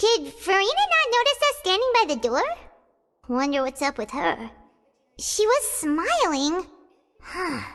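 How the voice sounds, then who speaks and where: A put-on character voice at an extremely high pitch, with very wide pitch swings, a moderate pace and long, frequent pauses. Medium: video game. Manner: casual, inquisitive.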